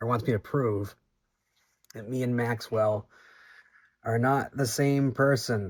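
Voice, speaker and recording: A man with a Boston accent and ordinary pitch variation. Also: very clean recording, silent background. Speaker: community member answering fan questions. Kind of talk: Q&A answering questions. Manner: casual, many filler words.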